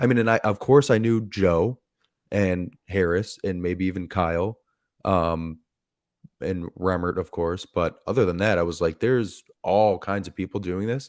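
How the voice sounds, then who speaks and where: Recorded very cleanly against a silent background, a man with a normal speaking voice talks at a moderate pace in a fairly low pitch. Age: 30s. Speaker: podcast and YouTube host. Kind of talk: casual interview chat.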